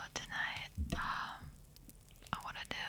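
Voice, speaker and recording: The speaker is whispering. The pace is very slow. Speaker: ASMR artist. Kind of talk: casual talk to camera. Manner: whispered.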